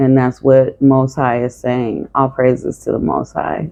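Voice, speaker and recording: A woman speaks with a very deep, low voice. Her pace is fairly slow. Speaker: tarot reader. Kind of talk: tarot reading monologue. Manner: monotone; stuttering at times.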